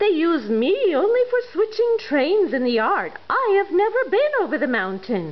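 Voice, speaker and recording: Over light background noise, a woman performs a put-on character voice at an extremely high pitch, swinging very widely in pitch at a moderate pace. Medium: read story. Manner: kind, earnest.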